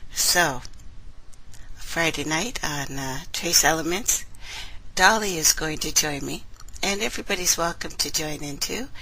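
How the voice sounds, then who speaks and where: A soft-spoken woman talks at a fairly low pitch with ordinary pitch variation. She leaves long, frequent pauses. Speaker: online radio host. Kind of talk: casual live-stream chat. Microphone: too quiet, listeners had to turn her up.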